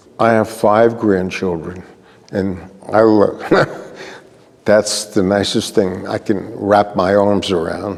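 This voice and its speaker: A man speaks at a very slow pace in a flat monotone, with long, frequent pauses. Noticeable background noise runs underneath. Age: 80s+. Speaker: honoree, community elder. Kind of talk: interview.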